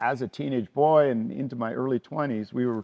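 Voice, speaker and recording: Speaking at a fairly slow pace, a man with a plain, everyday voice keeps a medium pitch and ordinary pitch variation. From western Canada (Vancouver). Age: 60s. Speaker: climber and route bolter. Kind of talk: documentary interview.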